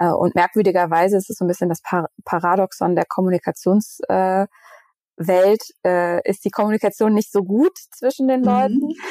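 Her voice has a dark, mellow tone at a medium pitch, with ordinary pitch variation. The woman speaks at a moderate pace. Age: 30s. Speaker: mental health agency co-founder, communication strategist. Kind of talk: interview conversation. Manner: hesitant, many fillers.

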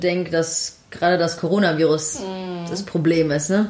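A woman speaks at a fairly slow pace and a fairly low pitch, in a monotone with flat intonation. Noticeable background noise runs behind her. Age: 20s. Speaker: podcast co-host. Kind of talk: casual chat.

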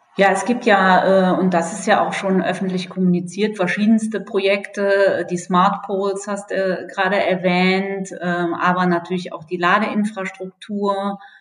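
Over noticeable background noise, a woman speaks at a medium pitch and a fairly slow pace with hardly any pauses and a monotone, flat intonation. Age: 40s. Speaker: energy company communications manager. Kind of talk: podcast interview.

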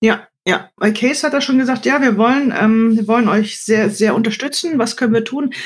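With hardly any pauses, the talking keeps a moderate pace. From Germany. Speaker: podcast host, knife shop owner. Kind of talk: casual chat.

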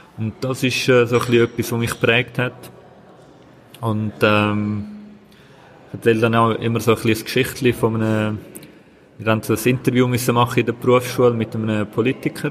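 A man's flat, monotone delivery at a moderate pace, broken by long, frequent pauses. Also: medium pitch for a man. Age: 20s. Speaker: local politician. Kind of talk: interview. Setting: café at train station.

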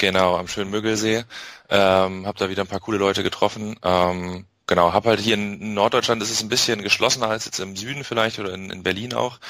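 Speaking very fast, a man with a fairly low pitch and a bright, sharp tone keeps his intonation fairly even. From northern Germany, Bremen. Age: 20s. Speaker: SEO specialist and affiliate marketer. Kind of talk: interview.

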